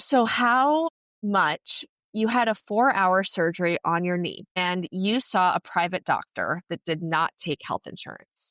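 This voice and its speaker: A woman with an American accent and an ordinary speaking voice speaks at a fairly slow pace with lively intonation. The recording is very clean, with a silent background and a dry, close sound with no echo. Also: medium pitch for a woman. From United States. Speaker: podcast host, former travel nurse. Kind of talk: casual chat.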